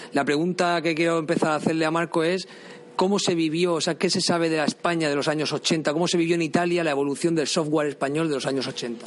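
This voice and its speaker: Talking very fast, a man with a fairly high voice keeps his intonation fairly even. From Spain. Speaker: podcast host. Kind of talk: interview. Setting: museum.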